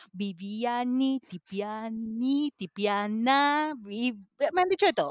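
Her voice fairly high and her intonation lively, a woman speaks at a very slow pace in a dry, close sound with no echo. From Peru. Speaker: interpreter. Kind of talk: casual chat.

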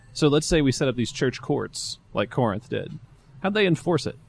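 In a Louisiana accent, a man with a fairly high pitch and vocal fry swings very widely in pitch. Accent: Southern US (Louisiana). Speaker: pastor. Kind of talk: casual talk show chat. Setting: live stream.

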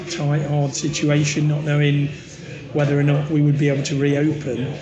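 A man with an East Midlands accent and a fairly high pitch, amid audible room echo and noticeable background noise. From English Midlands. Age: 50s. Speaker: pub landlord. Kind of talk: casual interview chat.

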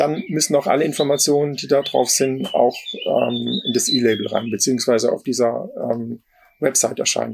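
A man's fairly high voice, a normal speaking voice, at a moderate pace. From Palatinate, southwest Germany. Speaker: lawyer. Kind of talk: interview.

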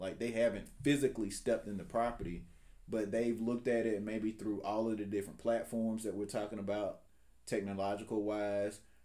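The voice has a dark, mellow tone and an Alabama accent. It moves at a fairly quick pace. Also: man. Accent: Southern US (Alabama). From US South, rural south Alabama. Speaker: real estate agent. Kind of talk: casual interview.

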